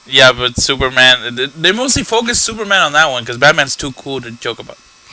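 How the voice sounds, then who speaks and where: A man speaks at a fairly quick pace in a fairly high pitch, with lively intonation, big swings in loudness and noticeable background noise. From Peru. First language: Spanish. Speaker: podcast co-host. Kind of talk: casual chat.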